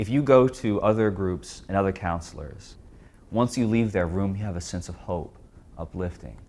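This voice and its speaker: In a plain, everyday voice, a man with an American accent speaks at a moderate pace and a fairly low pitch, with ordinary pitch variation. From Texas. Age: 20s. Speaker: former client sharing personal experience. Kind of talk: testimony.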